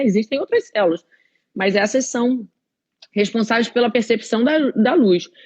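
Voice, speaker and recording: A woman speaks with a high pitch and lively intonation at a moderate pace. The sound is dry and close, with no echo. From Rio de Janeiro, Brazil. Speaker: eye doctor. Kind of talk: live-stream health talk. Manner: halting.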